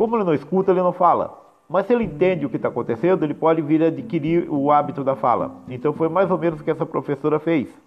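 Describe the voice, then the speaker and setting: The man speaks at a very fast pace. His pitch is high, with ordinary variation. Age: 40s. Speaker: philosophy teacher. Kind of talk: recorded lesson. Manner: casual, with fillers.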